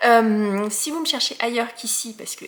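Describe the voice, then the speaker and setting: A woman talks while noticeable background noise runs behind her. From Alsace, France. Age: 40s. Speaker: knitting podcaster. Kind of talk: casual podcast monologue. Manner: hesitant, many fillers.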